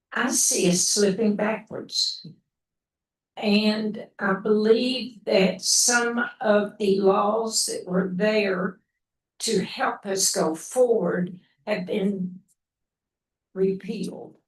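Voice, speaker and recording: A woman with a somewhat breathy, medium-pitched voice speaks at a very slow pace. Her intonation is fairly even, with long, frequent pauses. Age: 80s+. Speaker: audience member. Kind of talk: audience question.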